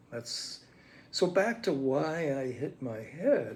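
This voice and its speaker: A somewhat breathy man speaks at a medium pitch with ordinary pitch variation. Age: 80s+. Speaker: psychoanalytic lecturer. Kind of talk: reflective monologue. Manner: halting, many fillers.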